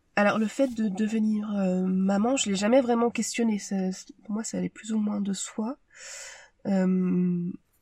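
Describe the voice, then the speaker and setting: A woman speaks at a fairly slow pace in a somewhat breathy, dark and mellow voice, with fairly even intonation and big swings in loudness. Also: medium pitch for a woman. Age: 30s. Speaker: medical secretary. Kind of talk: testimony. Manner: halting.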